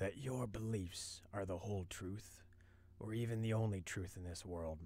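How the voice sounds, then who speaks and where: A man puts on a character voice that is hoarse and fairly low in pitch. He speaks in a calm tone at a moderate pace with fairly even intonation. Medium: read story. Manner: calm, serene.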